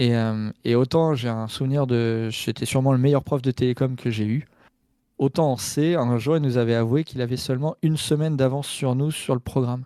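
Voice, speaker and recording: At a moderate pace, a man with a dark, mellow tone and medium pitch speaks with fairly even intonation, recorded very cleanly against a silent background with a dry, close sound and no echo. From Normandy, France. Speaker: hacker, cybersecurity engineer. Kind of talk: casual chat. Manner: hesitant, many fillers.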